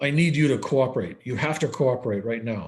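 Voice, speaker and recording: In a gruff, put-on character voice, a man talks at a fairly quick pace with medium pitch and ordinary pitch variation over a quiet background. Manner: stern, commanding.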